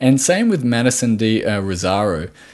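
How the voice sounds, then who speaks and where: Here a man speaks at a fairly slow pace with an Australian accent. The background is quiet. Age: 20s. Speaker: podcast host, nutritional therapist. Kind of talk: solo podcast monologue. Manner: halting, many fillers and repetitions.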